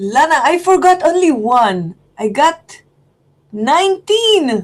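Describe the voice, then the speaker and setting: A woman speaks very slowly in an Israeli accent, her high voice swinging very widely in pitch. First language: Hebrew. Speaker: student. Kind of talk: casual lesson exchange. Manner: halting.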